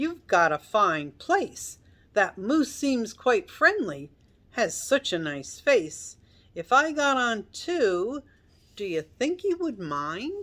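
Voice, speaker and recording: In a put-on character voice, a woman speaks very slowly in a high, squeaky pitch with very wide pitch swings, on a very clean recording with a silent background. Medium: read story.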